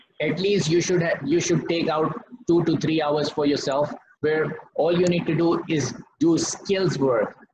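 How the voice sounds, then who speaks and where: Over noticeable background noise, a man with a fairly high pitch speaks at a fairly slow pace, his loudness very even and his intonation fairly even. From Pakistan. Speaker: former cricketer and batting coach; batting coach. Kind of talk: lecture. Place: home room. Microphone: poor audio connection; video call.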